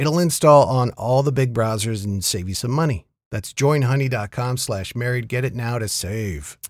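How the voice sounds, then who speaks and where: A man's normal speaking voice at medium pitch, with ordinary pitch variation, a moderate pace, hardly any pauses, and a very clean recording over a silent background. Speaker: podcast host. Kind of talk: casual chat about TV shows. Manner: casual, conversational.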